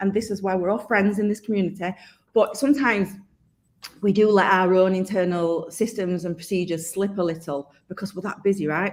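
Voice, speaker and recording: A woman with a Yorkshire accent speaks at a fairly quick pace and medium pitch. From Yorkshire, northern England. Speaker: accountant and software company specialist, webinar host. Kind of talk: live-streamed webinar interview.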